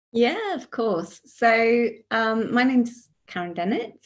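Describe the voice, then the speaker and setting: A woman with a British accent speaks at a fairly high pitch. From UK. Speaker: author. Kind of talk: panel interview.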